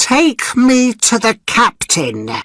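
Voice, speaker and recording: Dry and close with no echo, a man puts on a character voice at an extremely high pitch. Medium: read story.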